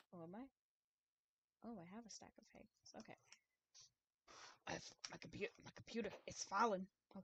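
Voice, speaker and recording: Heard dry and close with no echo, a woman at a medium pitch speaks at a moderate pace with ordinary pitch variation, big swings in loudness and long, frequent pauses. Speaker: gaming streamer. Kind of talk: casual chat while gaming. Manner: halting, many fillers and restarts; slips into imitated accents at times.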